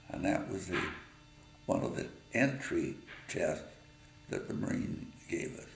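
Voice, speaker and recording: A man with an American accent talks at a fairly slow pace with long, frequent pauses, and the room echo is audible. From Utah, US. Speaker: war veteran. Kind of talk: personal memoir storytelling. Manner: halting, many fillers.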